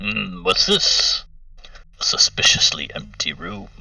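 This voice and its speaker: Using a put-on character voice, a man speaks at a fairly slow pace. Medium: actual play. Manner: measured, musing, often opens with a thoughtful hum.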